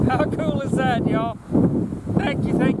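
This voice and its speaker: Here a man speaks at a moderate speed. The room echo is audible, and noticeable background noise is present. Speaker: hunting channel host. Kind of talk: outdoor vlog narration. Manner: excited.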